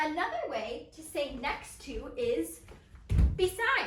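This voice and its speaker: A woman speaks in a raised, projected voice with very wide pitch swings. Audible room echo surrounds her. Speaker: elementary school teacher. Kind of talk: lesson for young children. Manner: loud; animated. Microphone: far from the camera.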